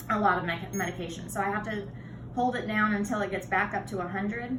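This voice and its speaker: A woman at medium pitch with ordinary pitch variation, amid noticeable background noise and audible room echo. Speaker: patient with chronic illness. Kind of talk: tutorial. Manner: fast.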